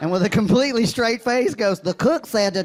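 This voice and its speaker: With an Alabama accent, a man speaks at a fairly quick pace in a high pitch over noticeable background noise. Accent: Southern US (Alabama). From Alabama, US South. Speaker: stand-up comedian. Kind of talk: stand-up.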